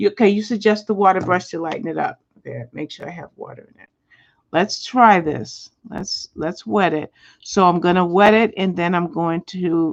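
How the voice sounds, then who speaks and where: Against a quiet background, a woman puts on a raspy character voice at a medium pitch and a moderate pace. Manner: talking fast.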